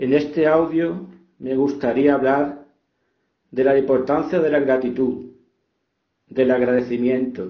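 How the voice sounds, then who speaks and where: Speaking at a fairly slow pace with long, frequent pauses, a man keeps a medium pitch and fairly even intonation amid audible room echo. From Spain, Extremadura (Fregenal de la Sierra). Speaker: author. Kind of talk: reflective talk on gratitude. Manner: calm.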